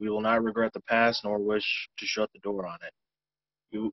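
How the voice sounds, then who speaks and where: A man talks at medium pitch and a fairly quick pace. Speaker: meeting member. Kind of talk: reading aloud.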